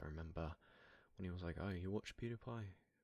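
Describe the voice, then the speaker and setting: A man speaks with vocal fry and ordinary pitch variation. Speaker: ASMR creator. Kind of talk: ASMR soft talk. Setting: in a car.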